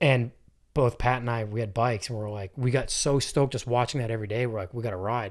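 This man speaks at a very fast pace. His pitch varies in an ordinary way. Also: quiet background. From New Hampshire. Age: 30s. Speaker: podcast host. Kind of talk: casual chat. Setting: home recording studio. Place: studio. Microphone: studio mic.

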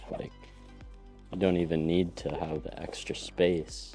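With faint music in the background, a man speaks at a fairly slow pace in a very deep, low pitch, the sound dry with no echo. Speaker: product reviewer. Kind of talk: casual unboxing commentary. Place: studio.

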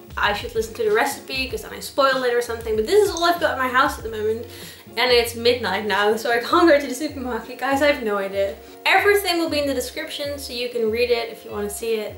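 A woman's high voice at a very fast pace, with audible room echo and faint music in the background. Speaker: home cook vlogger. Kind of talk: casual vlog chat. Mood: playful, self-deprecating. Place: kitchen. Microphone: camera far.

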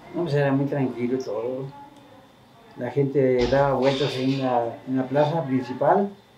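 Against noticeable background noise, a man talks fairly slowly with fairly even intonation. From Mexico, Jalisco (Los Altos, San Miguel el Alto). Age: 70s. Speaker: elderly local resident. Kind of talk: interview. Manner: halting. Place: home room. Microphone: camera far.

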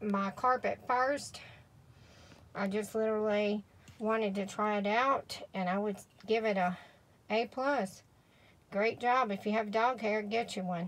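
The delivery is fairly slow with fairly even intonation. Long, frequent pauses break it up. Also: woman. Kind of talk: casual product demo. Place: car. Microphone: phone near.

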